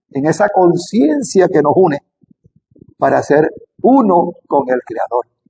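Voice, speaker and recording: A man talks at a very slow pace with long, frequent pauses, his high-pitched voice dark and mellow in tone with lively intonation, in a dry, close sound with no echo. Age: 60s. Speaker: spiritual teacher on Kabbalah. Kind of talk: spiritual talk to camera. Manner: halting.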